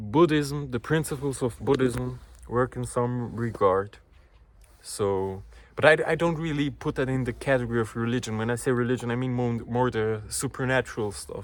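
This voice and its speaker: Medium pitch from a man, moderate pace, ordinary pitch variation. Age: 20s. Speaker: vlogger. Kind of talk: casual vlog monologue. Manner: halting.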